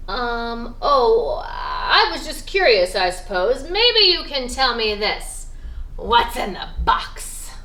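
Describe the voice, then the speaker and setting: Growling in a put-on character voice, a woman speaks at a very slow pace. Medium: read story.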